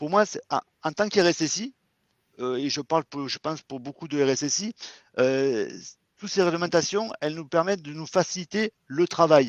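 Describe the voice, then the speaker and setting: A man with a fairly high voice speaks at a moderate pace, leaving long, frequent pauses. His loudness swings widely, his pitch varies in an ordinary way, and the background is quiet. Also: dry, close sound with no echo. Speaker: IT security manager. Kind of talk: interview / webinar talk. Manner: hesitant, many fillers.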